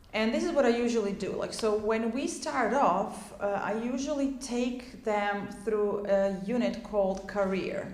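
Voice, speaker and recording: Talking at a fairly slow pace with hardly any pauses, a woman with a Croatian accent uses a fairly high pitch and ordinary pitch variation, amid noticeable background noise and audible room echo. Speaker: English teacher. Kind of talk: tutorial.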